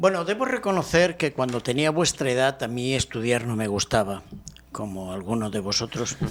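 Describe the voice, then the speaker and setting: With a Spanish accent, a man talks at a moderate pace, medium in pitch, with lively intonation. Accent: Spanish (Spain). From Spain, Barcelona. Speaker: professor. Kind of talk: interview.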